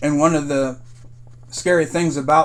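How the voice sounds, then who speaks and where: A man with a fairly high pitch talks fairly slowly. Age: 60s. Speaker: military veteran commentator. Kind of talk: political commentary monologue.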